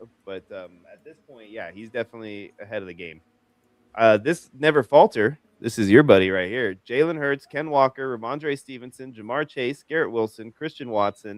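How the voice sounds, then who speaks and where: This man has an unremarkable speaking voice with an American accent, medium pitch and ordinary pitch variation. His moderate-paced speech has big swings in loudness, recorded with a dry, close sound with no echo. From Las Vegas, US. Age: 40s. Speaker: fantasy football show host. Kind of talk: live draft show chat.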